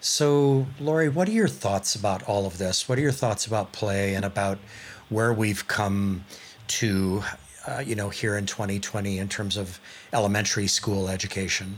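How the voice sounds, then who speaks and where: A man with an ordinary speaking voice talks at a moderate pace in a fairly low pitch, with ordinary pitch variation. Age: 60s. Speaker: podcast host. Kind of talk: interview, scripted intro.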